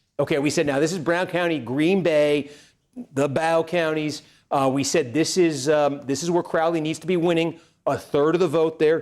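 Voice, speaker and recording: At a moderate pace, a man talks with a fairly high pitch, very even loudness and fairly even intonation on a very clean recording with a silent background. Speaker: political livestreamer. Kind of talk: live election night commentary. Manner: halting, many fillers.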